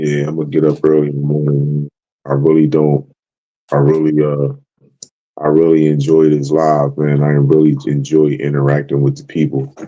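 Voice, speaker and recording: A man's very deep, low voice in a monotone, flat intonation at a moderate pace, with music in the background. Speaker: live stream guest. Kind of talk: casual chat.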